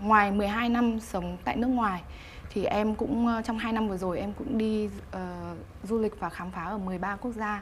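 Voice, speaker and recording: A woman speaks at a moderate pace in a fairly high, somewhat breathy voice. Her intonation is fairly even, with light background noise. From Hanoi, northern Vietnam; Vietnam. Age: 30s. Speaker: painter; guest. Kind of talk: interview. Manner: halting, with many fillers. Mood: calm, reflective. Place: studio. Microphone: lapel.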